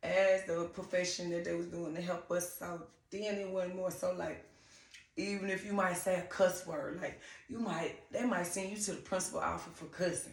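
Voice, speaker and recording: A woman speaks at medium pitch with a Southern accent. Audible room echo and noticeable background noise surround her. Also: moderate pace. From US South, Griffin, Georgia. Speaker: TV personality. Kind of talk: interview.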